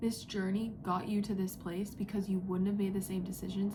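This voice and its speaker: A woman's medium-pitched, monotone, flat voice amid audible room echo and noticeable background noise. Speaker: psychic reader. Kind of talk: spiritual channeling message. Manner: whispering, quiet; casual, filler-heavy.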